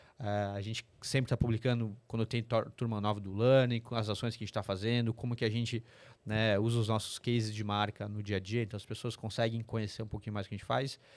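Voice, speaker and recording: A man at a medium pitch and very fast pace, monotone and flat, on a very clean recording with a silent background. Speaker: corporate sustainability executive. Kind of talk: interview podcast.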